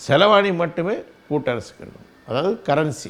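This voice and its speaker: A man's voice with ordinary pitch variation. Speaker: political party leader. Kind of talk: political commentary monologue. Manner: halting, frequent pauses and fillers.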